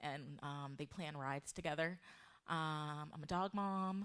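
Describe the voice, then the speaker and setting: A woman with an American accent speaks in a very deep, low pitch. Her pitch varies in an ordinary way against a quiet background. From US Northeast, Delaware. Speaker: developer advocate, conference speaker; conference speaker. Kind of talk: conference talk. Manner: casual with many filler words. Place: meeting room. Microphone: handheld.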